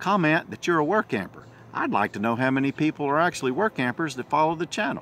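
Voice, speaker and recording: A man's voice with vocal fry, dry sound with no echo, and light background noise. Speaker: vlogger. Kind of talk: casual vlog chat. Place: garden. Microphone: phone near.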